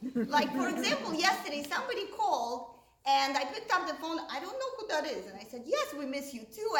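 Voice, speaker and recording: Over noticeable background noise and audible room echo, a woman talks at a fairly quick pace with very wide pitch swings. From Russia, Moscow. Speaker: stand-up comedian. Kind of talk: stand-up.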